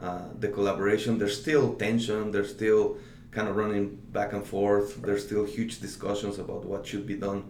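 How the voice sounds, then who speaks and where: In a room with audible echo and noticeable background noise, a man talks at a moderate pace in a fairly low, monotone, flat voice. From Mexico City. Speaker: digital strategy director. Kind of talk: interview. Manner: halting.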